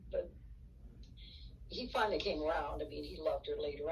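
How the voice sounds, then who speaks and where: Noticeable background noise and audible room echo fill the recording. The voice belongs to a woman. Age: 70s. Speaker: interviewee sharing life story. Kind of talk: interview. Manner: halting.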